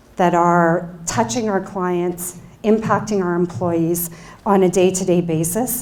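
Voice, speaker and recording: A woman at a medium pitch with fairly even intonation, against noticeable background noise. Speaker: bank executive, keynote speaker. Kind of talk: keynote speech. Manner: loud. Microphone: microphone cutting in and out.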